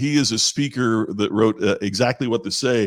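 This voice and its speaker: A man with a Midwestern American accent. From southern Indiana. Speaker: professional speaker. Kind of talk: casual chat. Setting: video call.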